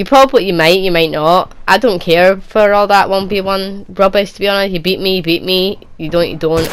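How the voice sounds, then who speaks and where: Speaking fairly quickly with a Scottish accent, a woman is heard over noticeable background noise. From Scotland, Edinburgh. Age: 20s. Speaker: gaming youtuber. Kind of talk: Q&A video answering viewer questions. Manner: casual, rambling with repetitions.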